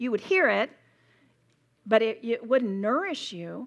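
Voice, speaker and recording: A woman with a Southern US accent speaks at a moderate pace in an animated tone with lively intonation against a quiet background. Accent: US South. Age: 60s. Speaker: Bible teacher. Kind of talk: sermon. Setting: stage with audience.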